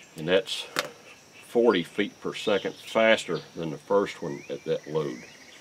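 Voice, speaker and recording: Noticeable background noise sits behind a man speaking fairly slowly at a fairly low pitch with ordinary pitch variation. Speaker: YouTube shooting and reloading channel host. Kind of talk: tutorial. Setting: outdoors at a shooting range. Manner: halting.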